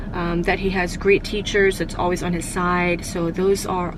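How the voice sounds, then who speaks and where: There is audible room echo and noticeable background noise as a woman speaks at a moderate pace. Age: 30s. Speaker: lifestyle vlogger. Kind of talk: casual vlog talk. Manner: halting, stumbles over words.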